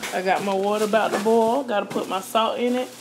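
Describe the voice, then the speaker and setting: Moderately paced speech from a woman, with noticeable background noise behind it. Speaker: home cook vlogger. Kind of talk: casual vlog chat. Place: kitchen. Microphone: phone near.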